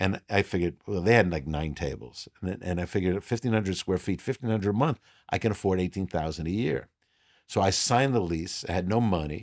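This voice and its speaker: A man with a very deep, low pitch speaks at a very fast pace with ordinary pitch variation. The sound is dry and close with no echo, on a very clean recording with a silent background. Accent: New York. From New York. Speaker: restaurateur. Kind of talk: casual interview.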